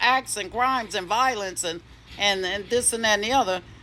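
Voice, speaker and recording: A woman's bright, sharp tone at a moderate pace with ordinary pitch variation. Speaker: spiritual content creator. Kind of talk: spiritual monologue. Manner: bold, cocky-sounding delivery; halting, repeats words.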